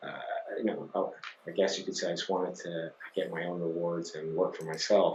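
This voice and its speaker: Background noise is noticeable throughout. A man talks at a moderate speed. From Scotland. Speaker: company CEO. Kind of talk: interview. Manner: hesitant, many fillers.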